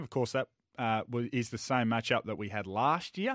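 A man speaks with ordinary pitch variation in a very clean recording with a silent background and a dry, close sound with no echo. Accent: Australian. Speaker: radio sports host. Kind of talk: casual radio banter.

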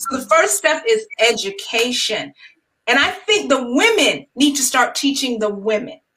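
A woman with an American accent projects a raised voice in a high pitch, using very wide pitch swings and a bright, sharp tone at a fairly slow pace. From New York. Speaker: wedding planner and writer. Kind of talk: panel discussion.

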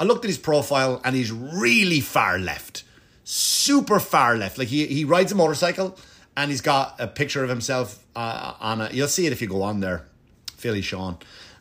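On a very clean recording with a silent background, a man with an Irish accent speaks at a moderate pace and medium pitch, his bright, sharp, animated tone marked by very wide pitch swings. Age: 40s. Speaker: comedian and podcast host. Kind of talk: casual monologue.

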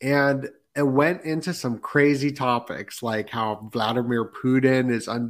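Speaking at a very slow pace with fairly even intonation, a man is heard in a very clean recording with a silent background. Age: 30s. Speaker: podcaster guest. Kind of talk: casual chat.

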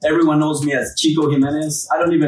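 A speaker with a Peruvian accent is heard over noticeable background noise. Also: man. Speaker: roofing company CEO. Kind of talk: casual podcast interview.

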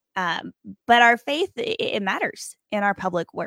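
A woman speaks at a moderate pace in a plain, everyday voice, pitched fairly high, with lively intonation. The sound is dry and close, with no echo. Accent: American. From Appalachia, West Virginia-Virginia border. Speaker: hospice chaplain and author. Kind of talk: interview.

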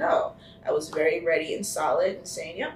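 A woman with an American accent speaks at a fairly quick pace. The recording has audible room echo and noticeable background noise. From New Jersey (Keyport). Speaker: actress. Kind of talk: casual interview.

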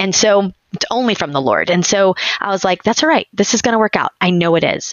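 In an ordinary speaking voice, a woman talks at a fairly quick pace with a medium pitch and lively intonation. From Texas. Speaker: homeschooling mother of many, dental hygienist. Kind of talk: casual interview chat.

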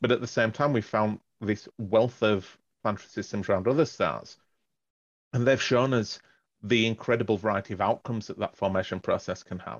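Here a man with an English accent speaks at a fairly quick pace and a medium pitch. His intonation stays fairly even. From northern England. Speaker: astrophysics professor. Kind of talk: interview. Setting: phone call.

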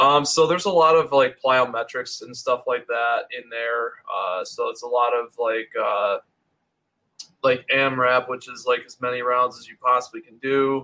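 A man with an American accent at a moderate pace, with big swings in loudness. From US Northeast, Rochester area of New York. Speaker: chiropractor. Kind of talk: casual chat. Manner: halting, many fillers.

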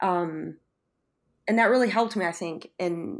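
Moderate-paced speech with ordinary pitch variation and a Western New York accent, on a very clean recording with a silent background. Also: woman. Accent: Western New York American. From Buffalo, New York. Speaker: chef. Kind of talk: interview, casual chat.

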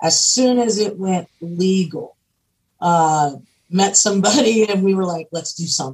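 Somewhat breathy, a woman with an American accent speaks at a medium pitch. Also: ordinary pitch variation, moderate pace. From Pennsylvania. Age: 50s. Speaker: cannabis entrepreneur and activist. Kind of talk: podcast interview.

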